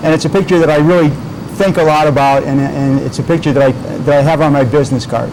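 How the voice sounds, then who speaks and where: A man speaks very fast at a fairly high pitch, with very even loudness and fairly even intonation, amid noticeable background noise and audible room echo. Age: 60s. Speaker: weight loss business owner. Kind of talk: TV interview. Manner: halting, many repeated words.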